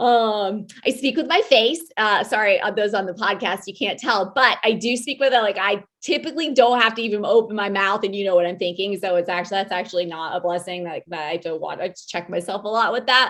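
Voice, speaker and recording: A woman talks at a fairly quick pace with hardly any pauses, her tone animated. Her pitch is medium, with ordinary variation. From US Midwest, Iowa. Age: 40s. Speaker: podcast co-host, military veteran with MS. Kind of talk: casual self-introduction monologue. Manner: loud, especially when passionate; animated, frequent um fillers.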